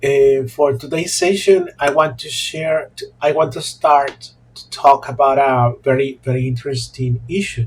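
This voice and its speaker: With a Mexican accent, the speaker talks fairly slowly with fairly even intonation and big swings in loudness. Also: man, fairly high pitch for a man. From Mexico, La Paz. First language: Spanish. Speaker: Spanish teacher. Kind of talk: monologue vlog talk. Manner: halting, many fillers and repetitions.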